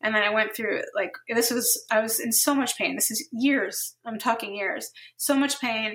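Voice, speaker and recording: A woman with an ordinary speaking voice, fairly high in pitch, with an American accent, ordinary pitch variation and a moderate pace. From New Jersey. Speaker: therapist. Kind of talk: casual interview.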